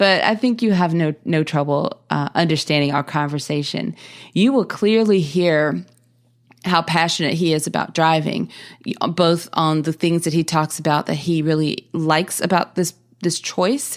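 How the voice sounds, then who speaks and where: In a very clean recording with a silent background, a woman with a Southern US accent speaks at a moderate pace in a fairly low pitch, with ordinary pitch variation and very even loudness. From US South. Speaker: podcast host. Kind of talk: podcast introduction monologue. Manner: casual with frequent fillers and repetitions.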